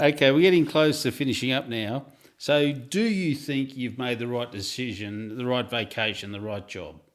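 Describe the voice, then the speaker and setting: Medium-pitched male speech with an Australian accent, at a moderate pace with ordinary pitch variation. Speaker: interviewer. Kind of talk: interview.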